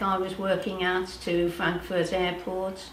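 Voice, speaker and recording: A woman with a British accent at a medium pitch and a fairly slow pace, with noticeable background noise and audible room echo. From Britain. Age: 70s. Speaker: powerlifter and nutrition practitioner. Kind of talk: interview testimony. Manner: hesitant, many fillers.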